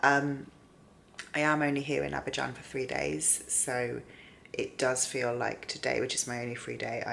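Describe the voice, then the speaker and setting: Ordinary pitch variation at a moderate pace. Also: woman. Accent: British. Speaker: book vlogger. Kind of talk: vlog to camera. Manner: rambling, hesitant.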